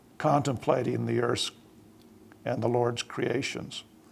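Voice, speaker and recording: Fairly even intonation carries speech delivered at a moderate pace. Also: man. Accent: Utah. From southern Utah. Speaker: church leader. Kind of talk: panel speech. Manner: formal.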